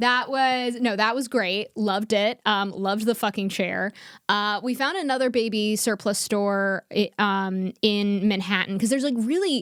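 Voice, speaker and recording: In a very clean recording with a silent background, a woman with a fairly high pitch talks in an animated tone at a moderate pace, with hardly any pauses and very even loudness. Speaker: comedian podcast co-host. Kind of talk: casual chat.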